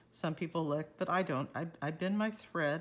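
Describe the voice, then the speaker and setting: In a very clean recording with a silent background, a woman with a very deep, low pitch for a woman talks at a moderate pace with ordinary pitch variation. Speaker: cross-stitch video creator. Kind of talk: tutorial.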